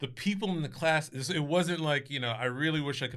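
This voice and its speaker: With an American accent, a man speaks in a bright, sharp tone with ordinary pitch variation on a very clean recording with a silent background. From New Jersey, Scotch Plains. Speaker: comedian and performer. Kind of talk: casual chat.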